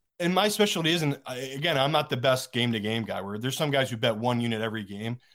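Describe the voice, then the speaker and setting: A man with an ordinary speaking voice talks at medium pitch with lively intonation. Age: 30s. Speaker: professional sports bettor. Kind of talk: casual chat.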